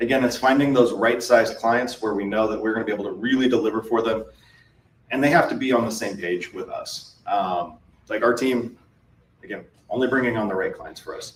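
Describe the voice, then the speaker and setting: This man speaks at a fairly quick pace and medium pitch. His intonation stays fairly even. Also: big swings in loudness. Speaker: MSP business owner presenting at a conference. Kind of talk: conference presentation. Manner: fast.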